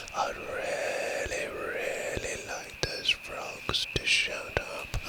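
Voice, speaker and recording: A man whispering over noticeable background noise. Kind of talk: ASMR nature recording. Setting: outdoors. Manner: whispered.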